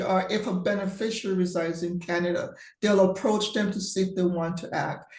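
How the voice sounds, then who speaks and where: A woman talks at a fairly quick pace in a medium pitch, with fairly even intonation. Audible room echo surrounds her voice. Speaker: estate and trust professional. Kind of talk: webinar Q&A. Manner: fast.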